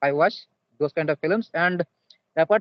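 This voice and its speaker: A high-pitched man with an Indian accent, at a moderate pace with fairly even intonation. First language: Santali. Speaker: English learner. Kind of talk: casual chat. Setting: video call; outdoors. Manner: halting.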